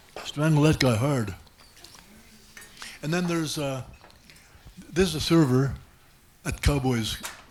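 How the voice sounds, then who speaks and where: A man with a fairly high voice talks at a fairly slow pace with ordinary pitch variation and long, frequent pauses, against noticeable background noise and audible room echo. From Germany. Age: 70s. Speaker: comedian. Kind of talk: stand-up. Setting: stage with audience.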